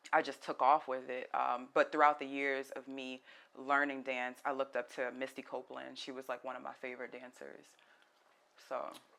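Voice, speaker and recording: At a moderate pace, a woman speaks with a very deep, low pitch, a monotone, flat intonation, vocal fry and big swings in loudness. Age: 30s. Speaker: fitness trainer and dancer. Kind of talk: podcast interview.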